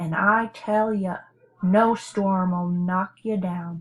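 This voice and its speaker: This female-sounding voice sits at a middle pitch and is a put-on character voice. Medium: read story. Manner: folksy, drawling.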